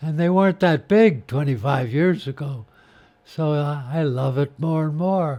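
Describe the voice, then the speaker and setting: This man's voice sits at a fairly high pitch and has a dark, mellow tone. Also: ordinary pitch variation, fairly slow pace. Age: 80s+. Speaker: sculptor and former priest. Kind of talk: interview storytelling.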